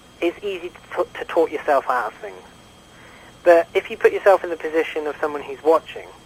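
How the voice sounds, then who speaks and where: A man's high-pitched voice with a British accent, at a fairly quick pace with ordinary pitch variation, over noticeable background noise. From England. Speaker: YouTube comedy filmmaker interviewed on radio. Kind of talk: radio phone interview. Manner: halting, many fillers and restarts.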